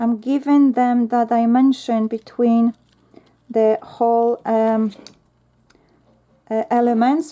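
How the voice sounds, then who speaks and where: A woman with a Polish accent and a dark, mellow tone speaks at a very slow pace, with long, frequent pauses, fairly even intonation and very even loudness. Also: fairly high pitch for a woman. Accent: Polish accent, non-native English. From Poland. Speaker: craft YouTuber. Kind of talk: tutorial. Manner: chatty, thinking aloud.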